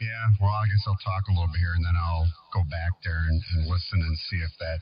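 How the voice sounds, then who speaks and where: Somewhat breathy, a man speaks at a very deep, low pitch with fairly even intonation. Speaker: radio hobbyist. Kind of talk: casual chat.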